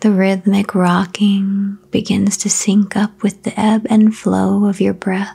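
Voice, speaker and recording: Soft-spoken and calm, a woman talks at a very slow pace with hardly any pauses, a medium pitch and flat, monotone intonation, against noticeable background noise. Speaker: meditation guide. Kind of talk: guided sleep meditation. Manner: slow, calm.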